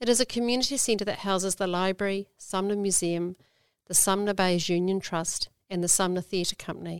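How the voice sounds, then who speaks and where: The speaker has a New Zealand accent. The pace is fairly quick. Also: woman, dry, close sound with no echo, very clean recording, silent background. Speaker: library team leader. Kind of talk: prepared talk.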